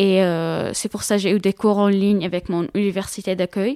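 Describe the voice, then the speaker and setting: In an Arabic accent, someone speaks at a moderate pace in a dark, mellow tone and monotone, flat intonation, with a dry, close sound with no echo on a very clean recording with a silent background. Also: woman. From Syria. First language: Arabic (speaking French). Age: 20s. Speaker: student, former refugee. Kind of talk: interview testimony. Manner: halting, many hesitations and repetitions.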